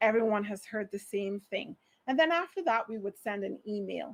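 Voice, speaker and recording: A woman with a Barbadian accent talks at a fairly high pitch. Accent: Barbadian (Bajan). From Barbados. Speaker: HR manager, conference speaker. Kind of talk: conference talk. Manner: animated.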